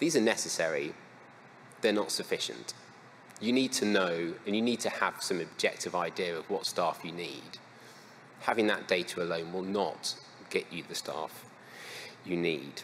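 A man with a fairly low pitch talks at a moderate pace with ordinary pitch variation. He pauses often and at length, over light background noise. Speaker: conference speaker. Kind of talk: lecture. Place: hall.

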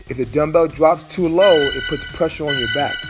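Over clear music in the background, a man speaks at a fairly slow pace with ordinary pitch variation. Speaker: fitness instructor. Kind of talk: workout coaching cues. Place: gym.

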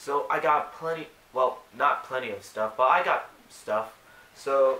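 A man speaks at a fairly slow pace with a fairly high pitch and ordinary pitch variation, and the room echo is audible. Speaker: toy and comic reviewer. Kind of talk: casual talk to camera. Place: home room. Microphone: webcam.

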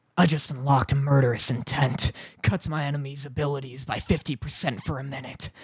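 A put-on character voice growls at a low-to-middle pitch and a moderate pace. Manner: menacing, growling.

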